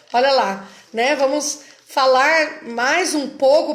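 A woman speaks in a high voice with lively intonation, and the room echo is audible. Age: 40s. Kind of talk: religious teaching talk. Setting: online live stream.

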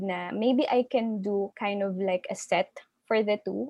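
At a fairly slow pace, a woman with an ordinary speaking voice talks in a fairly high pitch that varies in an ordinary way. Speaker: candle entrepreneur. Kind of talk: interview.

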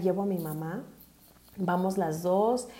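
Speaking with a Mexican accent, a woman keeps a moderate pace and fairly even intonation. Audible room echo surrounds her voice. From Mexico City. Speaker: podcast host, accountant and life coach. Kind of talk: personal testimony monologue. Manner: hesitant, many fillers and repetitions.

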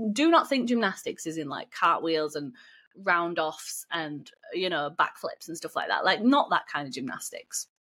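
A woman with a British accent, her loudness swinging widely, on a very clean recording with a silent background. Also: moderate pace. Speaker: fitness coach. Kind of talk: casual solo podcast talk.

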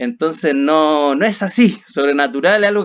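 With a Chilean accent, a man speaks at a moderate pace with lively intonation. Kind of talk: casual chat.

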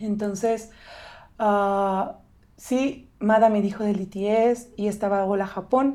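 A dark, mellow tone comes through at a very slow pace with fairly even intonation. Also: woman, medium pitch for a woman. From Mexico, State of Mexico. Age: 20s. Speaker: missionary staff member. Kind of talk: casual interview.

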